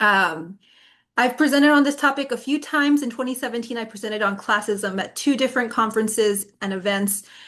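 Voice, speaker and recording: Against a quiet background, a woman speaks at a fairly quick pace. She has a plain, everyday voice with ordinary pitch variation. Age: 30s. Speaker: psychology doctoral student and presenter. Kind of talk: webinar presentation.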